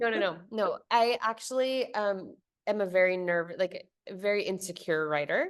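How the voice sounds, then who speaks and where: A woman speaks at medium pitch and a moderate pace with ordinary pitch variation. Her loudness stays very even against a quiet background. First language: Spanish. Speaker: venture capital investor. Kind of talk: interview conversation.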